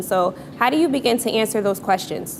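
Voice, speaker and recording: A woman speaks over noticeable background noise. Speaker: storyteller at live event. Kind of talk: live storytelling. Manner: fast when excited.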